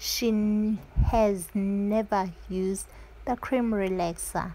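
Very slow delivery from a woman. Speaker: channel host. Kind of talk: tutorial. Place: home room. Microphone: camera far.

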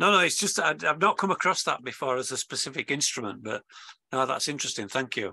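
A very fast man's voice, fairly high in pitch and bright and sharp in tone, with vocal fry and very wide pitch swings over a quiet background. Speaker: amateur radio club member. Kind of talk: audience question. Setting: video call.

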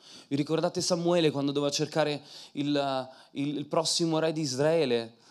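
In a quiet background, a man speaks at a moderate pace with an animated tone. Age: 30s. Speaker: preacher and singer; preacher. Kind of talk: sermon. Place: church. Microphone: handheld.

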